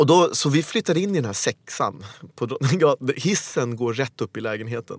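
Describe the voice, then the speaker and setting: At a moderate pace, a man with a medium pitch lets it swing very widely, in a dry, close sound with no echo. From Sweden, Helsingborg (born in Uganda). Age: 40s. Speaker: actor. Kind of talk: casual chat.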